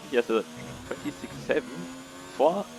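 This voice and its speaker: A man with a non-native accent against noticeable background noise. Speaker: sim racing league commentator. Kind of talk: live commentary. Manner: halting, many fillers. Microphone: poor audio quality.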